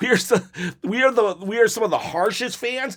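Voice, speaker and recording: This man has an animated tone and lively intonation. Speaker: wrestling commentator. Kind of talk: casual reading and reacting to viewer comments. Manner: halting, many fillers.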